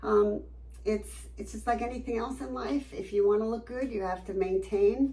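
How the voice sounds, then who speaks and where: A woman's moderately paced speech, noticeable background noise and audible echo from the room. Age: 60s. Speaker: med spa patient giving testimonial. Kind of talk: testimony interview. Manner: animated, enthusiastic.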